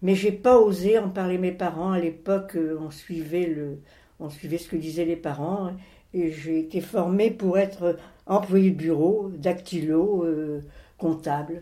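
Very slow in pace, a woman with a dark, mellow tone speaks with big swings in loudness. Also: fairly low pitch for a woman. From France, moved around as a child (Alps, Bordeaux area, Rouen). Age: 80s+. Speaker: grandmother telling her life story. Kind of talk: interview, life memories. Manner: halting, with hesitations.

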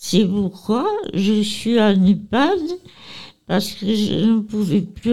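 Very slowly, a woman talks in a fairly high voice with ordinary pitch variation. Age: 80s+. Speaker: nursing home resident. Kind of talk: interview. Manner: halting.

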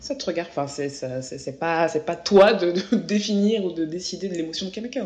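A woman's ordinary speaking voice with ordinary pitch variation. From France. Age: 20s. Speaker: journalist. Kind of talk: interview.

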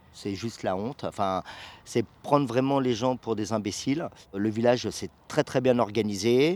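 Fairly slow speech from a man, medium in pitch, with ordinary pitch variation. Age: 50s. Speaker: professional sailor and dune protest activist. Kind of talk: interview on location. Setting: outdoors on the beach dunes. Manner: hesitant, with filler sounds.

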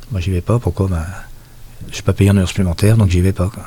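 A man's very deep, low-pitched voice. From Brittany, Finistère. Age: 60s. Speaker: former mill laborer. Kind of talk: oral history interview. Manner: halting.

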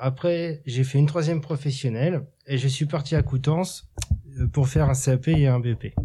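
Somewhat breathy, with a dark, mellow tone, a man talks at a fairly high pitch with ordinary pitch variation and a fairly slow pace on a very clean recording with a silent background. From Normandy, Cherbourg. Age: 30s. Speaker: horticulture worker at sheltered workshop. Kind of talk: interview.

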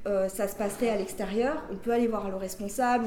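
A woman talks very fast at medium pitch with monotone, flat intonation. Noticeable background noise and audible room echo are present. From France, Grenoble region (rural). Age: 20s. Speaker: former prisoner, prisoners' rights activist. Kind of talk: interview testimony.

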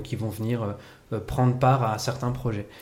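The voice has a dark, mellow tone and is somewhat breathy, with audible room echo. Its intonation stays fairly even at a fairly slow pace. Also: man. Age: 30s. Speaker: improv actor and teacher. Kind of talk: casual chat.

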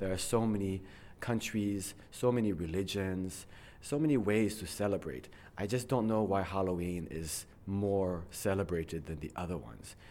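A man's very deep, low voice, dark and mellow in tone, at a fairly slow pace with ordinary pitch variation and audible room echo. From abroad, outside the United States. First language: English (speaking French). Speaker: English teacher. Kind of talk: interview.

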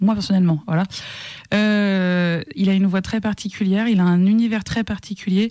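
A woman's medium-pitched voice, dark and mellow in tone, moves at a fairly slow pace. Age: 30s. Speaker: singer-songwriter. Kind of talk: interview conversation.

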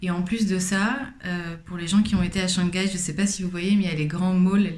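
Audible echo from the room plus noticeable noise in the background. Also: woman. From Paris, France. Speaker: fashion brand founder. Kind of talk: interview.

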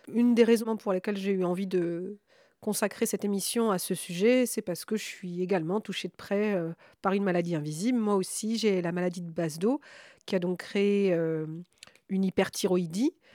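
On a very clean recording with a silent background, a woman speaks. Her tone is dark and mellow, and her intonation is fairly even. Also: medium pitch for a woman, moderate pace. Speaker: radio host. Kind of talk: radio discussion. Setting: home.

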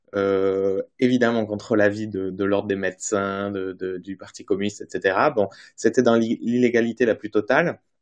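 Fairly low in pitch, the man has an unremarkable speaking voice with fairly even intonation. The background is quiet. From French Basque Country. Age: 30s. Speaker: journalist, author. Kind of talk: interview. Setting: remote video call.

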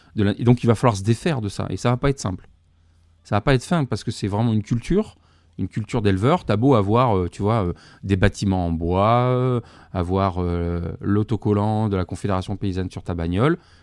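A man with a fairly low pitch talks at a fairly quick pace with ordinary pitch variation, his sound dry and close with no echo against a quiet background. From southern France, Bouches-du-Rhône. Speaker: goat and sheep farmer, author. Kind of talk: interview. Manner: halting, many fillers.

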